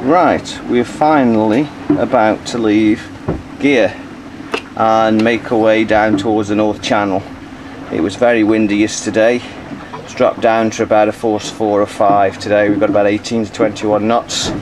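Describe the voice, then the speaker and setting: A man speaks with a fairly low pitch and fairly even intonation. The pace is moderate, and there is noticeable background noise. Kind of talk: casual travel narration. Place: boat. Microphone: phone near.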